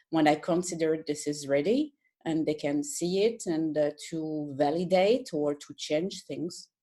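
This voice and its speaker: A woman with a French accent, her dark, mellow voice very deep and low, with ordinary pitch variation at a fairly slow pace. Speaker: colorist. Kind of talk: casual conversation. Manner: halting, hesitant.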